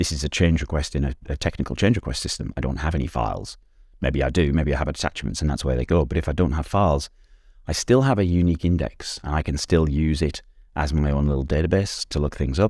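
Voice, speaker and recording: With vocal fry, a man speaks very fast in a very deep, low pitch. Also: ordinary pitch variation. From northeast England (Sunderland). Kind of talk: casual interview chat. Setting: early morning remote recording from Australia.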